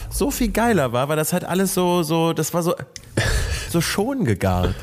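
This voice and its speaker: With an ordinary speaking voice, a man talks at a moderate pace using lively intonation. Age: 30s. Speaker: content creator. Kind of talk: casual chat.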